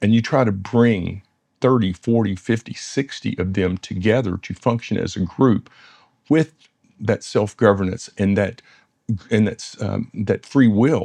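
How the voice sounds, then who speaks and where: With a Southern US accent, a man speaks fairly slowly in a dark, mellow tone at a fairly low pitch, with ordinary pitch variation and a dry, close sound with no echo. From US South, West Tennessee. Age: 60s. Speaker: dentist and business founder. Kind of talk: interview conversation. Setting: in-person interview in London.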